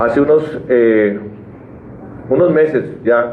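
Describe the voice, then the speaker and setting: A man talks as the room audibly echoes and clearly audible background noise carries on. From Colombian Llanos (eastern plains). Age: 60s. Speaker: Senate candidate, civil engineer. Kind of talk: press conference speech. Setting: press conference. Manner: emphatic, passionate.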